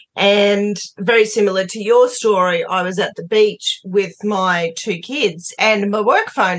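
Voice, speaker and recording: Speaking with an Australian accent, a woman keeps her intonation fairly even. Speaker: podcast host. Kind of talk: casual interview chat.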